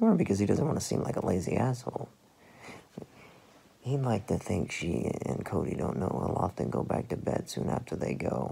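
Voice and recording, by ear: This put-on character voice has a dark, mellow tone with a husky, rough edge and vocal fry. Its pitch swings very widely. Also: man, fairly low pitch for a man, moderate pace.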